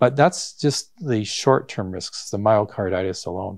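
In an ordinary speaking voice, a man with a fairly low pitch talks at a moderate pace with lively intonation, in a very clean recording with a silent background. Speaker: doctor and medical professor. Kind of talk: interview on vaccine concerns.

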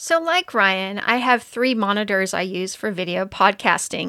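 Bright, sharp tone from a woman at a fairly high pitch, with ordinary pitch variation, a moderate pace and a very clean recording over a silent background. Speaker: podcast co-host. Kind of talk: casual podcast chat.

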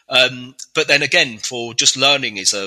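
A man with a southern English accent at a moderate pace. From England (Reading). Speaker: software architect. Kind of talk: interview. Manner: hesitant, many fillers.

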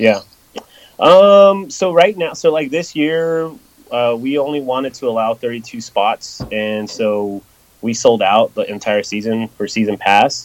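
Lively intonation in an American accent. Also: man, medium pitch for a man. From Los Angeles, Southern California. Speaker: drift series organizer. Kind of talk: podcast interview. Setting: phone call.

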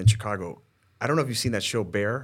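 A man talks in an unremarkable speaking voice, pitched in the middle range with ordinary pitch variation. The recording is very clean, with a silent background. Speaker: podcast host. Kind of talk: casual chat. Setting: studio.

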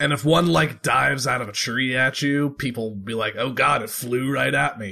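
A gruff, gravelly character voice is put on here. It moves at a moderate pace with hardly any pauses. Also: man, medium pitch for a man. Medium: actual play. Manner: casual, easygoing.

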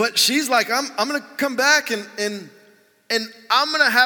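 The voice is raised and projected, with lively intonation. Its pace is moderate. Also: man. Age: 40s. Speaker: pastor. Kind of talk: sermon. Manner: casual and conversational, with fillers.

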